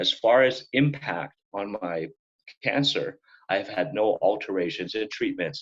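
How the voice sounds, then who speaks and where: A man with a plain, everyday voice, medium pitch, fairly slow pace and ordinary pitch variation. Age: 60s. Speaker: prostate cancer patient and advocate. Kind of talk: interview.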